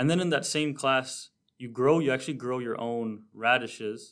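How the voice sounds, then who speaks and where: An unremarkable speaking voice from a man with a Canadian accent, medium in pitch, with ordinary pitch variation. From Southern Ontario, Canada. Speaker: university student. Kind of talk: interview.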